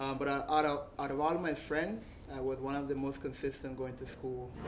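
Audible room echo and noticeable background noise surround a man of medium pitch who speaks with a Costa Rican Caribbean accent in a monotone, flat intonation. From Costa Rica, Caribbean coast. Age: 30s. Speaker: surfer. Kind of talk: talk to a live audience.

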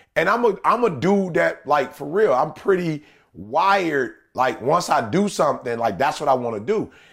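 This man speaks at a moderate pace with vocal fry, a fairly high pitch and very wide pitch swings, on a very clean recording with a silent background. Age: 40s. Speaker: podcast co-host. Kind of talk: casual chat.

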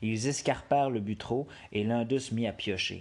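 A man's medium-pitched voice at a fairly slow pace. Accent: Quebec. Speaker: storyteller reading tales aloud. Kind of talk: dramatic storytelling narration of a folk tale, read aloud with suspense. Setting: solo home recording on an app. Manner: casual, jokey, self-deprecating in the intro and outro.

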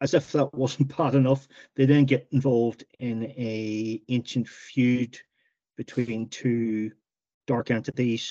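A dark, mellow tone carries fairly even intonation in a Northern Irish accent. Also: man. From Northern Ireland, County Tyrone. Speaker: novelist. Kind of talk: interview.

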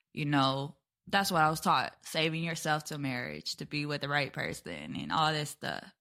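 A woman's very deep, low voice with a bright, sharp tone and vocal fry, at a moderate pace with ordinary pitch variation, in a very clean recording with a silent background. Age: 30s. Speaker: podcast co-host, sports blogger. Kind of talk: personal testimony in casual chat.

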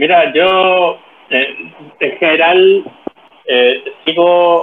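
Here is a man with a Chilean accent. His intonation is lively. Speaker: podcast co-host. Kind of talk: casual chat. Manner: halting, many repetitions and fillers.

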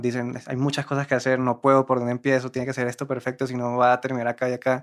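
A man talks at a medium pitch, captured in a very clean recording over a silent background. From Cartagena, Colombia. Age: 20s. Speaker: musician in a band. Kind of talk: casual chat.

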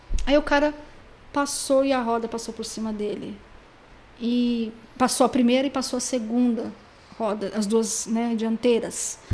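With long, frequent pauses, a woman speaks at a fairly slow pace in a fairly high pitch and fairly even intonation. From Brazil, São Paulo state (Pindamonhangaba). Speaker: private detective and necropsy technician. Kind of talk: podcast interview. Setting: studio.

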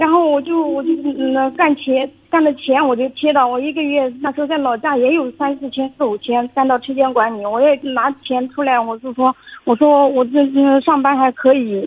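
The speech has a moderate pace. Its intonation is fairly even. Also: woman, high pitch for a woman. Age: 30s. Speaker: caller. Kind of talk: phone-in consultation. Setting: phone call. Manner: halting. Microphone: echo on the line.

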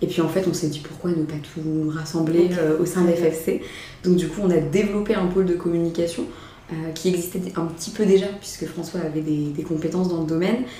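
A woman talks at a fairly quick pace in a fairly low, monotone, flat voice. Room echo and background noise are both noticeable. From France, Mayenne. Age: 20s. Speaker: entrepreneur. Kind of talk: casual chat. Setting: office.

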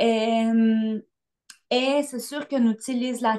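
A woman with a Spanish accent talks at a fairly high pitch. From Colombia. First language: Spanish (speaking French). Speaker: dancer and choreographer. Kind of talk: casual interview.

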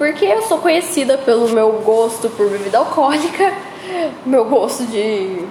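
Over noticeable background noise and audible room echo, a woman speaks with very wide pitch swings. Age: 20s. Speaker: podcaster. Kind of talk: casual monologue. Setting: empty school room after hours.

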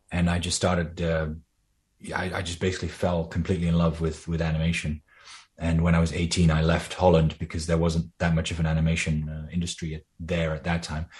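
A man speaks fairly quickly in a very deep, low voice that is somewhat breathy. His intonation stays monotone and flat against a quiet background. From Netherlands. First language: Dutch. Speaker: animator and voice actor. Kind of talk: interview.

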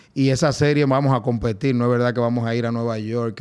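With monotone, flat intonation, a man speaks at a medium pitch and a fairly quick pace. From Dominican Republic. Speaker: baseball team general manager. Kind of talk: casual interview.

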